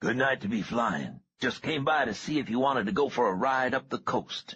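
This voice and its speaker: A raspy, put-on character voice from a man at medium pitch and a moderate pace. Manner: casual, easygoing.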